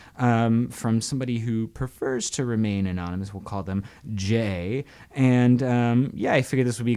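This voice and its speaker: Moderate pace and ordinary pitch variation from a man, a plain, everyday voice pitched in the medium range. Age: 30s. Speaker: radio host. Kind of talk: casual chat. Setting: home studio.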